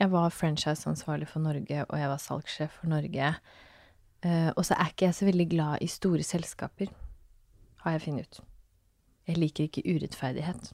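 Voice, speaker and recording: A woman speaks with a very deep, low pitch and long, frequent pauses. The recording is very clean, with a silent background. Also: moderate pace. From Norway, Fredrikstad (Østfold). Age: 30s. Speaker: fashion entrepreneur and mother. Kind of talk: casual interview chat. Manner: animated.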